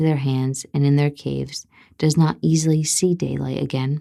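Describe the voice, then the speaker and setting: Soft-spoken and dark, mellow in tone, a woman with a very deep, low pitch talks at a moderate pace. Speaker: ASMR storyteller. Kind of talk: bedtime fairy tale reading.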